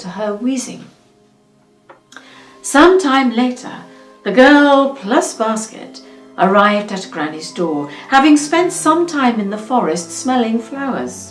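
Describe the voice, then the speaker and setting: With music in the background, a woman at a fairly high pitch talks at a fairly slow pace, her pitch swinging very widely. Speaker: actress. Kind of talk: fairytale reading.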